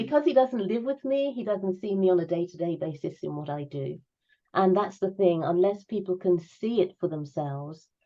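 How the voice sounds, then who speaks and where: Using a plain, everyday voice, a woman of medium pitch speaks at a moderate pace with lively intonation. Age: 60s. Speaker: crypto enthusiast. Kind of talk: interview answer.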